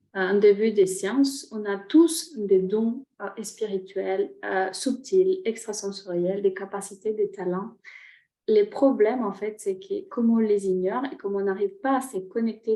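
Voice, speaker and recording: A woman's medium-pitched voice with a Spanish accent, a dark, mellow tone, ordinary pitch variation and a fairly slow pace. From Chile. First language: Spanish (speaking French). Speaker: shaman and energy therapist. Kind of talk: online workshop talk. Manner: halting, many hesitations.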